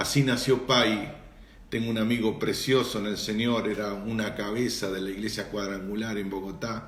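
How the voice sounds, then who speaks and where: With an Argentine accent, a man of fairly low pitch speaks at a moderate pace with fairly even intonation, in a room with audible echo. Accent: Argentine Spanish (rioplatense voseo). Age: 60s. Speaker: pastor. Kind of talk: live-stream Q&A and greetings with church audience. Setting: Instagram live broadcast.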